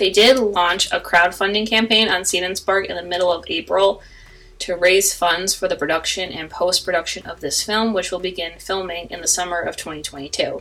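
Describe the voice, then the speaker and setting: A woman's unremarkable speaking voice with fairly even intonation at a moderate pace. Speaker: podcast host. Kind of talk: podcast intro and outro announcements.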